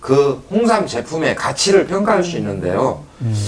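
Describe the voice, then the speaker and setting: Delivered at a fairly slow pace, the speech has very wide pitch swings over noticeable background noise. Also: man. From Geumsan, South Chungcheong, Korea. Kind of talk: interview. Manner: hesitant with fillers.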